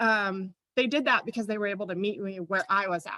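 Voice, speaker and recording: A woman talks at a fairly quick pace. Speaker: teacher presenting a workshop. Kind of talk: workshop presentation. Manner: fast.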